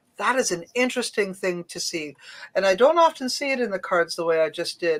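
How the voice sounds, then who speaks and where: A woman with a plain, everyday voice and a Canadian accent, medium in pitch, lively in intonation, fairly quick in pace. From Canada. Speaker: psychic medium. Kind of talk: live psychic reading. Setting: live stream.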